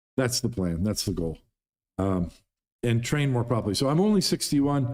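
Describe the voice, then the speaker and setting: In a very clean recording with a silent background, a man speaks at medium pitch. His pace is moderate and his intonation lively. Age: 60s. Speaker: pool player and YouTuber. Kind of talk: livestream Q&A monologue. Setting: livestream.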